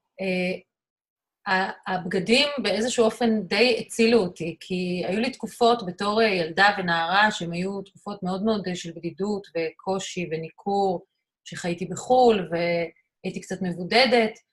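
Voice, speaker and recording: A woman speaks at a fairly slow pace in a medium pitch. Her voice is somewhat breathy, with ordinary pitch variation. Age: 50s. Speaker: artist and photographer. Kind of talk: interview.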